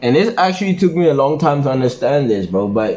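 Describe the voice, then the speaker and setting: A man with a plain, everyday voice, a medium pitch and a moderate pace. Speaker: men's self-improvement vlogger. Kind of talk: casual monologue vlog. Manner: casual, filler-heavy slangy talk.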